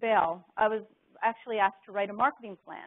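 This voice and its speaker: Here a woman speaks in a Canadian accent with an ordinary speaking voice. Her pitch is fairly high and her pace is moderate. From Canada. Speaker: business executive and author. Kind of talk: corporate presentation.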